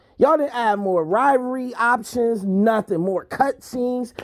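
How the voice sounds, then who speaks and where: A loud, shouting voice moves at a fairly slow pace. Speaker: gaming youtuber. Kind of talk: rant review. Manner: loud, yelling.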